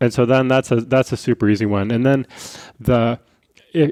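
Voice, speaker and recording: The man's voice is medium in pitch with a dark, mellow tone and a dry, close sound with no echo. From Rocky Mountains. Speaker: physician. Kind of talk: casual chat. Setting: at a kitchen table.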